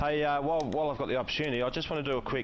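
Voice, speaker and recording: A man talks with an Australian accent. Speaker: sim racing co-commentator. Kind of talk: live commentary. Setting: voice chat online broadcast. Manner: loud.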